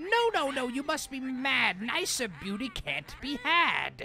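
In a put-on character voice with a high pitch, someone cackles at a fairly slow pace. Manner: cackling, vain, mocking.

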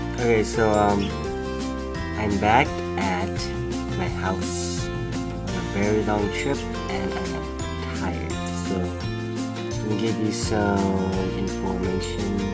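The speech moves at a very slow pace, broken by long, frequent pauses. Loud music plays in the background. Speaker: vlogger. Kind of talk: casual vlog chat. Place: home room. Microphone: phone near.

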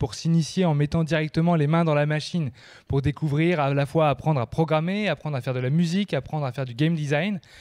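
Against a quiet background, a man talks at a very fast pace. His pitch is fairly high and his intonation fairly even. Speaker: event host. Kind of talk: event hosting. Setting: stage with audience. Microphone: handheld.

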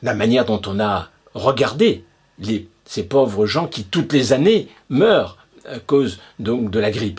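Speech comes at a very slow pace, somewhat breathy, with ordinary pitch variation. The background is quiet. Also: man. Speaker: video blogger. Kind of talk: angry conspiracy rant, indignant monologue to camera. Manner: indignant, emphatic, sarcastic; insistent, repetitive, hammering points with rhetorical questions. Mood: indignant, persuasive. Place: home room. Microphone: webcam.

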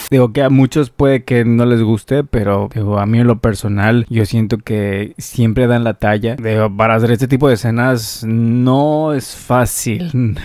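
A man speaks at a fairly slow pace with fairly even intonation. The sound is dry with no echo, and the background is quiet. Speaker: streamer reacting to dubs. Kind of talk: casual reaction commentary. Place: home room. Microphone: studio mic.

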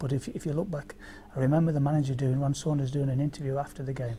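A man at a very fast pace with fairly even intonation, over light background noise. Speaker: former footballer; interviewee. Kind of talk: reminiscing interview. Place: studio.

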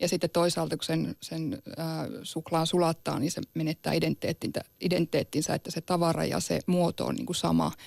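A woman talks at a moderate pace with hardly any pauses, in a dry sound with no echo and a quiet background. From Sámi region, northern Finland; northern Finland. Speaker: Sámi activist. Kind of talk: radio debate. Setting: studio. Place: studio.

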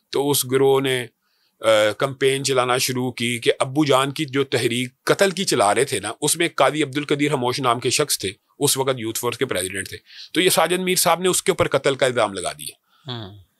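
The sound is dry, with no echo. A man talks at a moderate pace with ordinary pitch variation. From Pakistan. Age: 40s. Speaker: religious party leader and scholar; guest. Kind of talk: interview. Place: studio. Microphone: studio mic.

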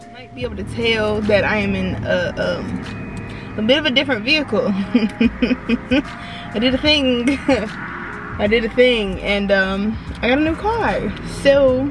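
A woman speaks at a fairly slow pace with long, frequent pauses and big swings in loudness. Music plays behind her in a dry recording with no echo. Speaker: vlogger. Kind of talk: casual vlog chat. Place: car.

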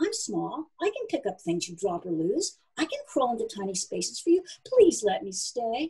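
A put-on character voice with a dark, mellow tone and big pitch swings. It carries a husky, rough edge and turns squeaky. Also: woman, fairly high pitch for a woman, moderate pace.

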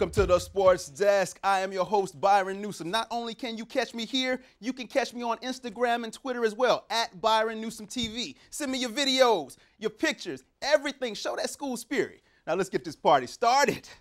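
Over background music, a man speaks at a moderate pace with big swings in loudness. His pitch is high, with ordinary pitch variation. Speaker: TV sports anchor. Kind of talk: news presentation. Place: studio. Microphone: lapel.

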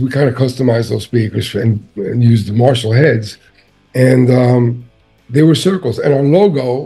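A man's fairly even intonation and moderate pace come through with faint music behind him. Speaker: interviewee. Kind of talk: interview answer. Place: home room. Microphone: webcam.

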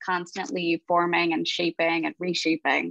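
A woman's fairly low voice with a bright, sharp tone, at a moderate pace, dry with no echo and a quiet background. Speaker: university student, event planner; panelist. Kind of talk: panel discussion. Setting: video call. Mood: warm, thoughtful. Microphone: earbuds.

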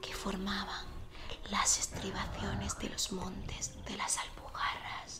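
The whispering unfolds at a very slow pace. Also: woman. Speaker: reader of a travel book. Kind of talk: audiobook-style reading aloud. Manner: soft, hushed ASMR reading voice.

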